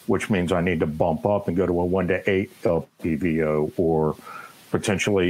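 Noticeable background noise sits behind a man with a very deep, low pitch. He keeps a moderate pace and ordinary pitch variation. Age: 30s. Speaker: army veteran and firearms trainer. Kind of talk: casual interview.

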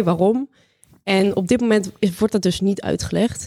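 An unremarkable speaking voice from a woman, medium in pitch, moderately paced and fairly even in intonation. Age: 20s. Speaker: AI master student. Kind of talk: interview.

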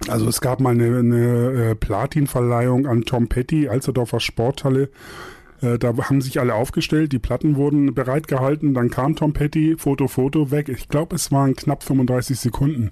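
At a moderate pace and medium pitch, a man speaks in a dark, mellow tone with fairly even intonation and very even loudness. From northern Germany, Buxtehude near Hamburg. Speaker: music publisher and radio DJ. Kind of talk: casual interview chat. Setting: video call.

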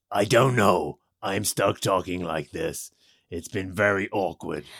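A man puts on a character voice that is raspy and fairly low in pitch. He goes at a fairly slow pace with ordinary pitch variation. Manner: dramatic movie trailer announcer.

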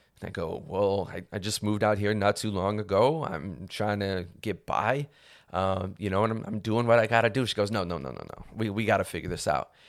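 In a very clean recording with a silent background, a man with a plain, everyday voice and an American accent talks at a fairly quick pace, fairly low in pitch, with ordinary pitch variation. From Ohio, Cleveland. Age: 30s. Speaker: podcast host. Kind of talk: casual monologue. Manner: casual, filler-heavy.

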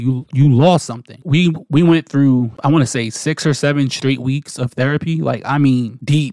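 A man's plain, everyday voice with an American accent, fairly high-pitched, at a moderate pace with fairly even intonation, in a dry, close sound with no echo. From New Jersey. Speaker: podcast host. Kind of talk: personal storytelling monologue.

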